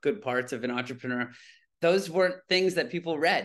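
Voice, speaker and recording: A man with an ordinary speaking voice talks at a fairly quick pace with ordinary pitch variation over a quiet background. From Toronto, Canada. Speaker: plastic surgeon and entrepreneur. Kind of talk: casual interview chat.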